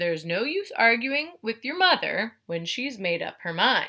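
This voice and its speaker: In a put-on character voice, a woman speaks at a moderate pace with a fairly high pitch and very wide pitch swings. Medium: read story.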